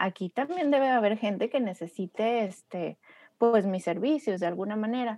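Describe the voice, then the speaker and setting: A woman speaks at a fairly high pitch and moderate pace in a plain, everyday voice with lively intonation. The sound is dry and close with no echo, over a quiet background. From Mexico, Torreón (La Laguna). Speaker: graphic designer and strategic design consultant. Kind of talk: casual interview chat.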